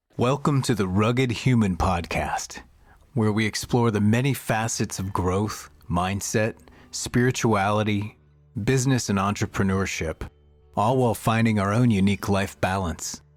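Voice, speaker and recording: A man with a fairly low pitch speaks at a moderate pace with ordinary pitch variation and very even loudness, while music plays in the background. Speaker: podcast host. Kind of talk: podcast intro.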